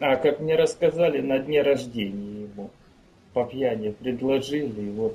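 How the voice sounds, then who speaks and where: Somewhat breathy, with a dark, mellow tone, a man speaks at a medium pitch and a moderate pace, his pitch varying in an ordinary way. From Ukraine. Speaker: musician. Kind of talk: interview. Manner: terse.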